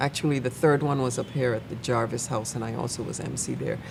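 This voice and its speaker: Amid noticeable background noise, a woman speaks fairly quickly at a very deep, low pitch with fairly even intonation. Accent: Virgin Islands. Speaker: church member. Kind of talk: casual chat.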